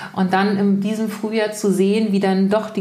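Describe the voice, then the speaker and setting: Audible room echo surrounds the voice. A woman speaks at a medium pitch. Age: 40s. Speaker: energetic life coach. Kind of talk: casual interview chat. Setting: in person at her home.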